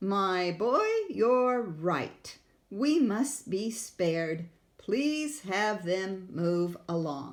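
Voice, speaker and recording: A female-sounding voice puts on a character voice at a medium pitch. The delivery moves at a very slow pace. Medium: read story. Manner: crooning, regal.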